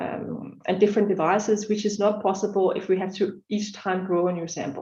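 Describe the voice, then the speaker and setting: Talking at a fairly quick pace, a woman uses a medium pitch and a dark, mellow, somewhat breathy tone with monotone, flat intonation. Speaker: research scientist presenting at a laser workshop. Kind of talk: conference talk. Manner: fast; hesitant with many fillers.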